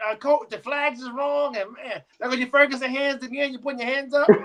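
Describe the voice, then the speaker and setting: With an American accent, a man speaks in an extremely high voice at a fairly quick pace with hardly any pauses, fairly even intonation and big swings in loudness. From Florida. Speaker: flag football player and podcast guest. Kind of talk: casual chat. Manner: fast.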